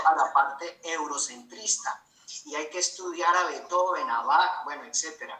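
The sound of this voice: There is audible room echo around a man with a Colombian accent. His tone is bright and sharp, and his pace is fairly slow.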